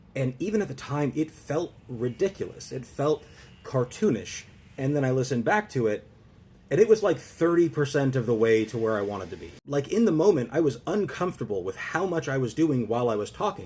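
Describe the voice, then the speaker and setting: A man's fairly high, somewhat breathy voice with a dark, mellow tone, very wide pitch swings and a fairly quick pace. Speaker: social skills content creator. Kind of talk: advice monologue to camera.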